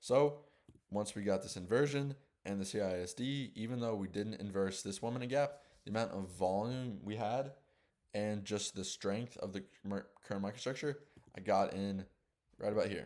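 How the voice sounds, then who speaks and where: At a moderate pace, a man speaks in an animated tone with a fairly low pitch and ordinary pitch variation. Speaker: day trader. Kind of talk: trading tutorial. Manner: casual, animated.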